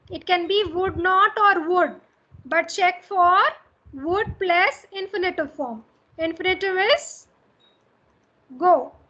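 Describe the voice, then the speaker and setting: In a raised, projected voice, a woman speaks with a bright, sharp tone at an extremely high pitch, very slowly, with lively intonation and long, frequent pauses. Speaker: college English teacher. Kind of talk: lecture.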